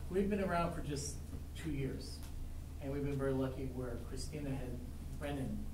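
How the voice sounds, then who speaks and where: A man at a moderate pace amid audible room echo and noticeable background noise. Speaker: teacher. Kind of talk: informal presentation to committee. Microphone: camera far.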